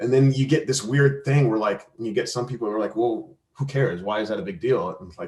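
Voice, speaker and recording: In an American accent, a man talks at a fairly quick pace and medium pitch. His voice is somewhat breathy, with ordinary pitch variation and big swings in loudness. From Arizona, US. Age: 40s. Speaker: soccer referee. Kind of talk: interview. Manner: halting, many repetitions.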